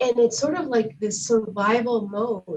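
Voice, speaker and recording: With a non-native accent, a woman speaks fairly slowly in a fairly high, somewhat breathy voice with a dark, mellow tone and ordinary pitch variation. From outside the US. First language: not English. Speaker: community organization host. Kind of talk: interview conversation.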